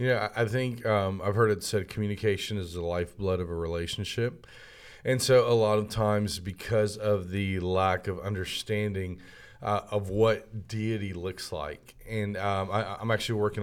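An unremarkable speaking voice moves at a moderate pace. The intonation stays fairly even. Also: man, fairly low pitch for a man. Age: 30s. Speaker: minister and entrepreneur. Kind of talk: casual chat. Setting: studio.

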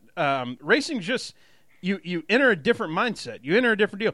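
Speaking at a very fast pace in a Southern US accent, a man uses a raised, projected voice with a high pitch, a bright, sharp tone, lively intonation and an animated, energetic delivery over a quiet background. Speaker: podcast host. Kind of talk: casual banter podcast about racing. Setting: studio.

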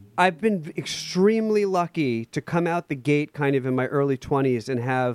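Fairly slow and dry, with a close sound and no echo, a man speaks at a fairly high pitch with lively intonation in a plain, everyday voice. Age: 30s. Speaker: music director and pianist. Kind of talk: casual interview. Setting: remote call.

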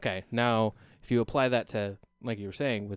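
In an American accent, a man with an unremarkable speaking voice talks at medium pitch and a moderate pace with fairly even intonation, the sound dry and close with no echo on a very clean recording with a silent background. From Oregon, US (Albany area). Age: 30s. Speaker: singer-songwriter. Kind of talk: casual chat. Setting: studio.

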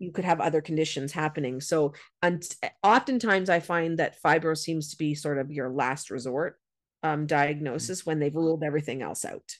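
A woman speaks in a Canadian accent at a moderate pace. Her pitch is very deep and low. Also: ordinary pitch variation, quiet background. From Canada. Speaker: educator and author. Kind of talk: interview.

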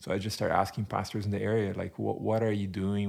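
A man speaks in a Portuguese accent at a fairly low pitch. The recording is very clean, with a silent background. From Brazil. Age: 40s. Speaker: church planter. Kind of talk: interview conversation.

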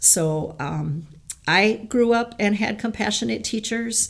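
A woman speaks with vocal fry. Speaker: middle school teacher. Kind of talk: interview.

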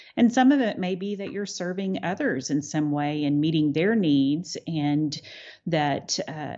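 Speaking with an American accent, a woman with a very deep, low pitch uses lively intonation at a moderate pace. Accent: noticeable accent, remarked as beautiful. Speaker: attorney and winery owner. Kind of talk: interview.

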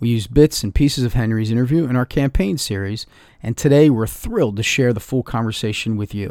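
An unremarkable speaking voice, a man's at medium pitch with ordinary pitch variation, sits on a very clean recording with a silent background. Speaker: podcast editor. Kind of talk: scripted intro.

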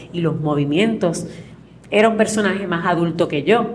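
A woman is speaking here. Noticeable background noise and audible room echo surround her voice. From Puerto Rico, Utuado. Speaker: actress. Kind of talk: interview. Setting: café.

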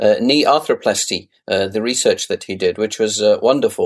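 In a British accent, a man talks at a fairly slow pace. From UK. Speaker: podcast host. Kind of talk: interview.

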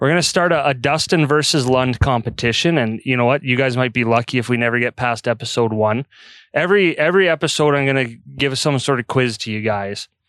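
A plain, everyday voice with a Canadian accent speaks at a fairly quick pace with ordinary pitch variation. The recording is very clean with a silent background, and the sound is dry and close with no echo. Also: man, medium pitch for a man. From Calgary, Alberta, Canada. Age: 30s. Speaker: podcast host. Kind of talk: casual chat. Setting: outdoors on a deck.

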